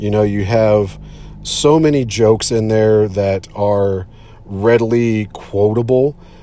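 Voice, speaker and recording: A man's fairly low, very slow delivery with fairly even intonation amid noticeable background noise. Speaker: podcast host. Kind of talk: casual solo movie podcast. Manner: hesitant, filler-heavy.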